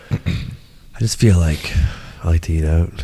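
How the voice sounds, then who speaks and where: Noticeable background noise runs through the clip. A man talks over it. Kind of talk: casual podcast conversation.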